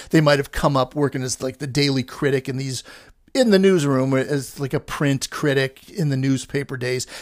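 Fairly high in pitch, a man's ordinary speaking voice moves at a moderate pace with fairly even intonation. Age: 50s. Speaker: film podcaster and critic. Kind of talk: casual monologue. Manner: rambling, frequent fillers.

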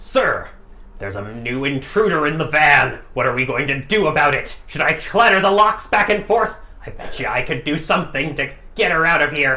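A man's gruff, put-on character voice, fairly high in pitch, at a moderate pace over light background noise. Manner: earnest, conspiratorial.

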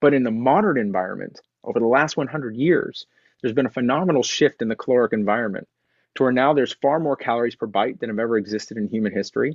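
A man speaks very fast with an American accent at a medium pitch. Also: ordinary pitch variation. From Texas. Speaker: diabetes and weight loss coach. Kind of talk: interview, personal story. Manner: hesitant, filler-heavy.

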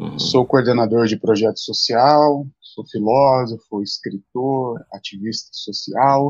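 Recorded dry and close with no echo, a man with an unremarkable speaking voice talks fairly slowly at medium pitch, with hardly any pauses, fairly even intonation and big swings in loudness. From São Paulo state, Brazil (Mogi das Cruzes). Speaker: pastor. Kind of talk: live-stream interview.

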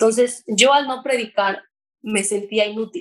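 Fairly high in pitch, a woman talks at a fairly slow pace. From Mexico. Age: 20s. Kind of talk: testimony. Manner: talkative.

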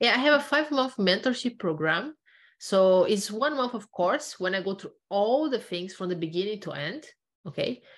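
Against a quiet background, a woman with a fairly high voice and very wide pitch swings speaks at a moderate pace. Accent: Portuguese. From Brazil. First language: Portuguese. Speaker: knowledge management consultant, former computer science researcher. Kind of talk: interview.

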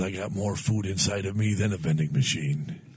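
A man's fairly low, somewhat breathy voice moves at a fairly quick pace. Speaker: podcast co-host. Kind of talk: radio dj patter: mock morning-show banter, playful and jokey, with sign-off catchphrases.

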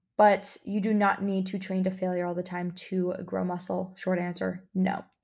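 This is a very clean recording with a silent background. A woman talks at a fairly slow pace. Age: 20s. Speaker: podcast host, health coach and dietitian. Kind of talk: casual solo Q&A podcast. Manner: animated.

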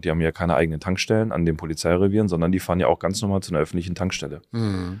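On a very clean recording with a silent background, a man speaks at a very fast pace. His pitch is very deep and low, with ordinary variation. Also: dry, close sound with no echo. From Germany, Taunus (Hesse). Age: 40s. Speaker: survival trainer. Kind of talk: interview. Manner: hesitant fillers (äh, ähm).

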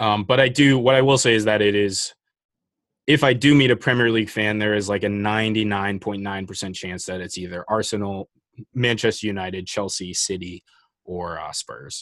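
The speaker has an unremarkable speaking voice with an American accent. The pace is moderate, the pitch variation ordinary, and the loudness swings widely. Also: man, fairly low pitch for a man. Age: 20s. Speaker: soccer podcaster, club supporter. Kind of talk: casual chat.

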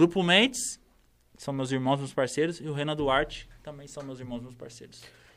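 In an ordinary speaking voice, a man with a fairly high pitch talks at a fairly quick pace with ordinary pitch variation, on a very clean recording with a silent background. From interior of São Paulo state, Brazil (Campinas). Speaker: rapper. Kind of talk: casual chat. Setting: studio.

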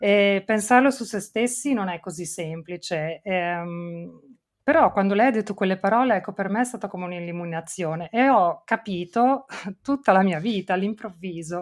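A normal speaking voice from a woman, medium-pitched with ordinary pitch variation at a moderate pace, on a very clean recording with a silent background. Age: 40s. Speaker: podcast host, mother. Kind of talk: casual interview chat.

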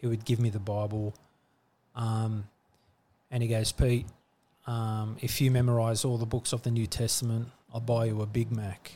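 A somewhat breathy, dark and mellow voice with an Australian accent, a moderate pace, monotone, flat intonation and long, frequent pauses. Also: man, medium pitch for a man. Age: 40s. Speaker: church leader and business owner. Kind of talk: casual chat.

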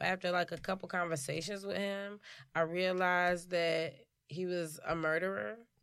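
A woman with an American accent talks at a moderate pace in an unremarkable speaking voice with fairly even intonation, on a very clean recording with a silent background. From Chicago. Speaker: stand-up comedian and actress. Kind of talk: casual interview chat.

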